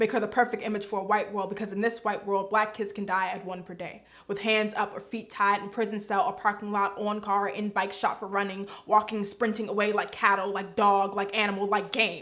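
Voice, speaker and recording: Against noticeable background noise, a woman with a medium pitch talks at a fairly quick pace with hardly any pauses and monotone, flat intonation. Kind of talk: spoken word poetry performance.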